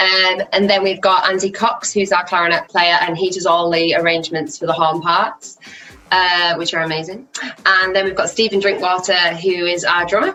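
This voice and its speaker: With a Teesside accent, a woman speaks at a moderate pace in a medium pitch with fairly even intonation against noticeable background noise. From Teesside, northeast England. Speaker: singer-songwriter and vocal coach. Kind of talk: casual interview.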